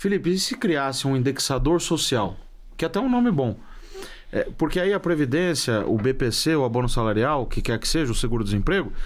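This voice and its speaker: A man's fairly high voice at a fairly quick pace, pitch swinging very widely, loudness very even throughout. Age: 30s. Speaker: economist. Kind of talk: interview.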